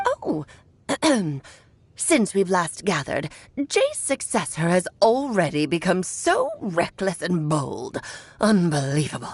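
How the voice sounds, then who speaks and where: Using a put-on character voice at a medium pitch, a woman talks at a fairly slow pace broken by long, frequent pauses. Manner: haughty, disapproving.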